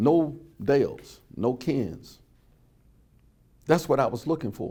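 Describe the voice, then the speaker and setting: With vocal fry and a dark, mellow tone, a man speaks at a fairly high pitch with lively intonation. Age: 70s. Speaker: oral history interviewee. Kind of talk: oral history interview.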